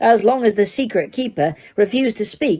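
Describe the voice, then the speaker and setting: This squeaky, female-sounding voice is a put-on character voice, pitched fairly high and moving at a moderate pace. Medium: read story.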